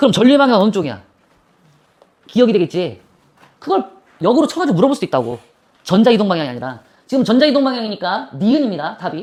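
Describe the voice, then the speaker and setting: A woman talks at a very fast pace with a fairly high pitch, very wide pitch swings, vocal fry and long, frequent pauses. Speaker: physics teacher. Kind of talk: classroom lecture. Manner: casual, bantering.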